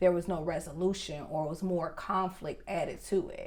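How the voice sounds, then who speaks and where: Over audible room echo, a woman speaks fairly slowly at a fairly low pitch with fairly even intonation. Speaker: podcast co-host. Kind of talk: casual relationship podcast chat. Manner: loud.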